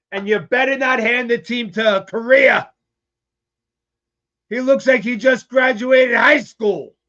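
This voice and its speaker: A man's raised, projected voice, extremely high-pitched, bright and sharp in tone, with ordinary pitch variation, a fairly slow pace and long, frequent pauses. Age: 60s. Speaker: sports fan show host. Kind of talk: live-streamed fan rant. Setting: live stream from a smoke shop.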